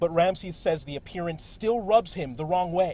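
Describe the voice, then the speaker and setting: Noticeable background noise sits behind a man with a high pitch. He speaks at a moderate pace with ordinary pitch variation. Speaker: TV news reporter and anchor. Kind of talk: TV news reporter delivery, live and packaged stories. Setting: outdoors, on location at news scenes.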